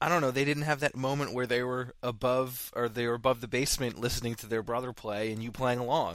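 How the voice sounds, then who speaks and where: A man talks at a fairly quick pace and a medium pitch. He has an ordinary speaking voice. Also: very clean recording, silent background. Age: 30s. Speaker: podcast host. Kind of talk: casual interview.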